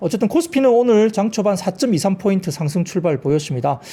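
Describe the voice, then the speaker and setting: A man's dark, mellow tone at a fairly quick pace, with lively intonation and a slight Busan accent. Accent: slight Busan regional. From Busan, Korea. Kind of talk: financial broadcast, professional.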